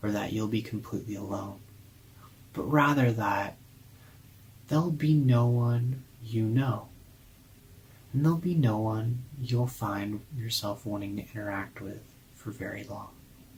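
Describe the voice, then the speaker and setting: Somewhat breathy, a man speaks at a medium pitch with ordinary pitch variation. His pace is fairly slow, broken by long, frequent pauses. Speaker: hypnotherapist. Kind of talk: hypnotic induction and guided visualization. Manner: slow, soothing, calm, with long pauses.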